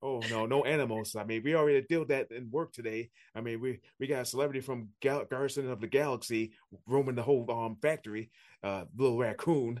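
A man with an American accent talks at a fairly quick pace in an unremarkable speaking voice, medium in pitch with fairly even intonation, over a quiet background. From upstate New York, Niagara Falls. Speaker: podcast host, martial arts instructor. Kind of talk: casual interview chat.

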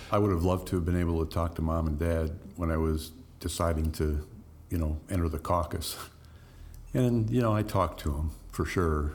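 A man with an American accent and a very deep, low voice talks fairly quickly, somewhat breathy, with fairly even intonation and very even loudness. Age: 60s. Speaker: mayor. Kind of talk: casual interview.

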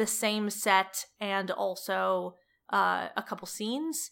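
The woman's voice has a bright, sharp tone. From Cleveland, Ohio, US Midwest. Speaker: comedian and TV writer. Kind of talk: interview. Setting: at home, living room floor.

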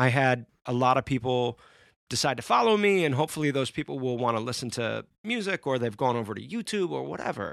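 American accent over a quiet background, with a dry, close sound and no echo. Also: man, medium pitch for a man. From Central New York (Syracuse). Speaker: musician and songwriter. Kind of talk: casual chat.

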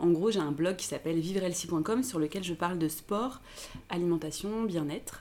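In an unremarkable speaking voice, a woman talks at a moderate pace, her pitch fairly low with ordinary variation. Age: 30s. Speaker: blogger. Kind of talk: casual chat.

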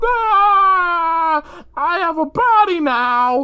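Extremely high pitch in a put-on character voice

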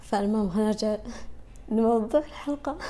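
Using a fairly high pitch with vocal fry, a woman speaks at a moderate pace in a dark, mellow tone. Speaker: podcast host. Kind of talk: personal monologue. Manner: casual, Arabic-English code-switching.

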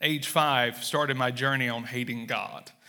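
A man at medium pitch with a Southern US accent, a bright, sharp tone, ordinary pitch variation and a fairly slow pace. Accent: Southern US, noticeable drawl. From Mississippi, US South. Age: 30s. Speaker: church planter and missionary. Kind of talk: sermon-style message with testimony. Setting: church stage with audience.

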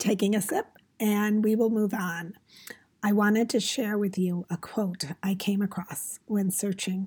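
A woman talks at a fairly slow pace with a somewhat breathy voice. Her pitch is medium and her intonation fairly even. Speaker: podcast host. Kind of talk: casual podcast monologue. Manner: halting.

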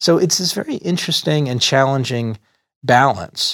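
A man talks at a moderate pace in a normal speaking voice with ordinary pitch variation, on a very clean recording with a silent background. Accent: American. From Texas, Dallas. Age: 50s. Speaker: venture capitalist. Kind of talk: casual interview. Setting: studio.

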